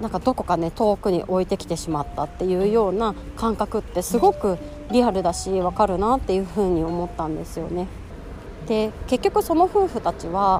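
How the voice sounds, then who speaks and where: Over noticeable background noise, a woman with a medium pitch speaks at a moderate pace with ordinary pitch variation. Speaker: podcast host, working mother. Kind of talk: casual solo monologue. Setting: outdoors, walking during lunch break.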